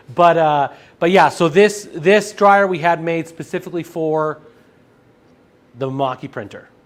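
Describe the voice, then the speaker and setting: A loud man's voice, high in pitch, at a moderate pace with long, frequent pauses. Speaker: sales presenter for printing supplies. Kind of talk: live stream product demo with Q&A. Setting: live stream studio with camera over printer.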